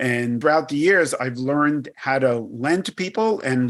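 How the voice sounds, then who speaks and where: A man with a New York accent. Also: very clean recording, silent background. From New York, Brooklyn. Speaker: credit risk executive. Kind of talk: podcast interview.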